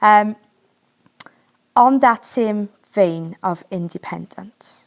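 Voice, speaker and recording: A woman's medium-pitched voice with a Welsh accent. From Wales. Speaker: podcast host. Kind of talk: podcast interview.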